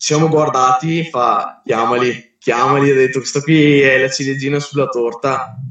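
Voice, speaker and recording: A man with a fairly high pitch speaks at a moderate pace. His intonation is monotone and flat. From Verona, northern Italy. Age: 20s. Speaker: street lifting athlete. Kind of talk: casual chat. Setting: Instagram live. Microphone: poor audio quality.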